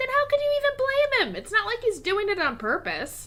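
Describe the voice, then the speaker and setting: A woman puts on a squeaky character voice at an extremely high pitch, racing along at a very fast pace with very wide pitch swings. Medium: audio drama.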